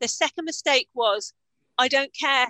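Her voice high-pitched, bright and sharp, a woman with a British accent speaks at a moderate pace in a dry, close sound with no echo. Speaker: business coach. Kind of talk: interview.

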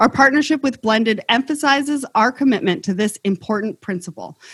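Lively intonation marks a woman's plain, everyday voice, fairly high in pitch, with a dry, close sound with no echo. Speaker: podcast host. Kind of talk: scripted intro then moderated panel discussion.

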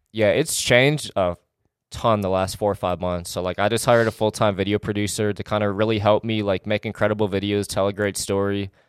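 In an American accent, a man talks at a fairly quick pace in a plain, everyday voice, fairly low in pitch, on a very clean recording with a silent background and a dry, close sound with no echo. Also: fairly even intonation. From Wisconsin, small town. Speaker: fitness entrepreneur and YouTuber. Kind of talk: casual interview. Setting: home studio.

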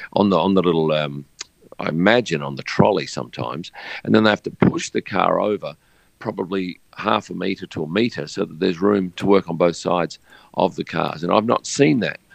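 This man talks at a fairly quick pace with an Australian accent and lively intonation. His pitch is very deep and low, and the sound is dry and close with no echo. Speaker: F1 photographer. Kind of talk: casual interview.

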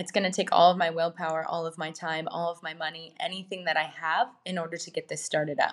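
Talking at a fairly quick pace, a woman with an American accent has a plain, everyday voice. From rural Minnesota, US Midwest. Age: 30s. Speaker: wellness entrepreneur. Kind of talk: interview.

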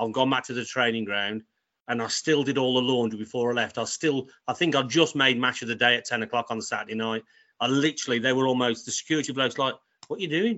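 A man with a medium pitch speaks at a very fast pace, his intonation fairly even. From North Wales (born West Bromwich). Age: 50s. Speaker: football kitman. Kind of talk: interview, casual storytelling.

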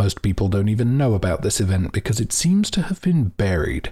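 Somewhat breathy delivery with a dark, mellow tone and lively intonation. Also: man. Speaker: narrator of a fiction podcast mystery. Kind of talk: scripted narration in a fiction podcast.

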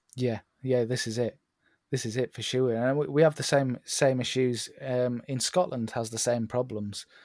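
A man with a British accent speaks at a moderate pace. His pitch is medium and his intonation fairly even. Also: dry, close sound with no echo. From northern England, Northumberland, moved around UK as child. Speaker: landscape photographer. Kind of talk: casual chat. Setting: remote call.

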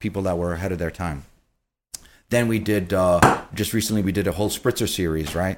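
Recorded very cleanly against a silent background, the speech moves at a fairly quick pace with fairly even intonation. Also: man, very deep, low pitch for a man. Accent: American. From New York City, Queens. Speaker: beverage director. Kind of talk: casual interview.

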